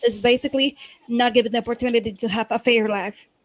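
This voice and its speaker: With a Spanish accent, a woman talks at a fairly quick pace. Her pitch is high, and the sound is dry and close with no echo. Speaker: debate participant. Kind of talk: heated debate. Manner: halting.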